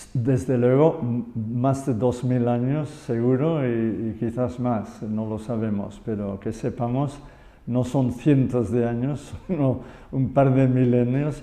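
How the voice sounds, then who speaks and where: A man with an English accent, very slow pace, fairly even intonation and medium pitch. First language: English (speaking Spanish). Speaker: yoga and Buddhism expert. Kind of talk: conversational interview. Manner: halting, with false starts.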